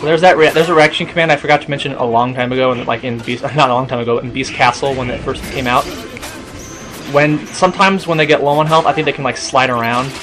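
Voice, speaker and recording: Music plays behind a man with a fairly high pitch. He talks very fast with fairly even intonation. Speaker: gaming video commentator. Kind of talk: let's play commentary. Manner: quiet; halting.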